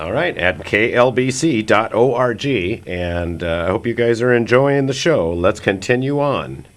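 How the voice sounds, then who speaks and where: A man speaks at a fairly slow pace with medium pitch and lively intonation, with hardly any pauses. Noticeable background noise sits behind him. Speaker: radio host. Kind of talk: casual radio talk. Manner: loud.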